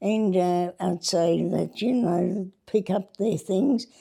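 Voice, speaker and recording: With an Australian accent, a woman speaks very slowly in a dark, mellow tone at a medium pitch, her pitch varying in an ordinary way. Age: 80s+. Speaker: retired cricket club scorer and team manager. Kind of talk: casual interview. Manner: halting.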